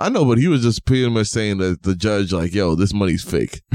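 In a New York accent, a man talks at a fairly quick pace, with a dry, close sound and no echo. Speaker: podcast host. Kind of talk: casual chat. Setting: home studio. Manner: animated.

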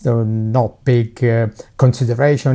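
A man with an Italian accent, medium pitch, a dark and mellow tone, fairly even intonation and a moderate pace. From Italy. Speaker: professor and cancer researcher. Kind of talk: casual interview.

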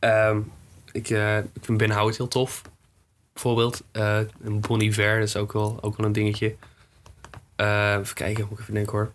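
Speech at a moderate pace comes in a monotone, flat intonation with long, frequent pauses. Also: man. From Netherlands, Groningen area. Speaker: musician. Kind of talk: casual interview.

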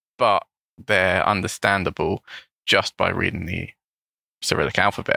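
A man speaks with a London accent at a moderate pace. The sound is dry and close, with no echo. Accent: British English (London). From England, London. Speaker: English teacher, podcast co-host. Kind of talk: casual chat.

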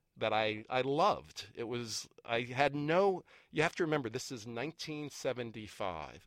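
In a very clean recording with a silent background and a dry, close sound with no echo, a man uses a plain, everyday voice with an American accent, speaking at a moderate pace and medium pitch with lively intonation. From US Northeast, Boston area. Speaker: neuroscience professor. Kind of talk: casual interview.

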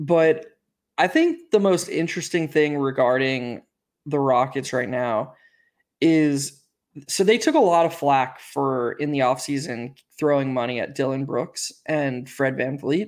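On a very clean recording with a silent background, a man with a fairly high pitch speaks at a fairly slow pace with ordinary pitch variation in an ordinary speaking voice. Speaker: podcast host. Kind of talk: casual sports podcast chat.

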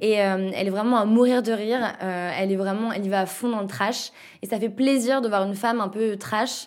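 Her pitch sits fairly high and her intonation stays fairly even. This woman, with an unremarkable speaking voice, moves at a moderate pace. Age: 20s. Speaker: podcast host. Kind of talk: casual chat.

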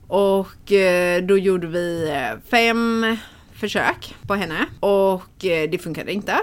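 Speaking at a very slow pace, a woman uses lively intonation at a medium pitch. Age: 30s. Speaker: shop owner. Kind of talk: casual interview. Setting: in a shop.

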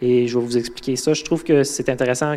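A man speaks in a Quebec accent at a moderate pace. His tone is dark and mellow, with fairly even intonation. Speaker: guest preacher, mentorship intern. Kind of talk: sermon. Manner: halting, many fillers and repetitions.

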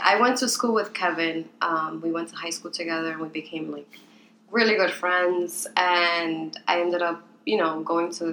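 The speaker has a Spanish accent, a moderate pace and fairly even intonation. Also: woman, fairly low pitch for a woman. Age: 20s. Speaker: podcast co-host, interior designer, mother. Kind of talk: casual chat.

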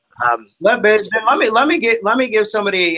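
Someone with an American accent talks at a moderate pace. The tone is bright and sharp, and the intonation lively. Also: man. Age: 30s. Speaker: real estate team leader. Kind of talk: interview. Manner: many fillers and restarts.

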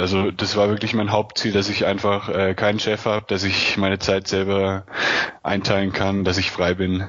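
Amid noticeable background noise, a man talks at a moderate pace in a fairly low pitch, with monotone, flat intonation and very even loudness. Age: 20s. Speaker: freelance online marketer and travel blogger. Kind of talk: interview.

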